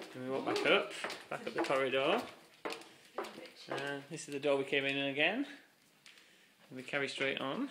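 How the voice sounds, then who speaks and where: A man's voice runs at a fairly quick pace, its pitch varying in an ordinary way, with noticeable noise in the background. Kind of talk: casual tour narration. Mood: relaxed, light-hearted. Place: hall. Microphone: phone near.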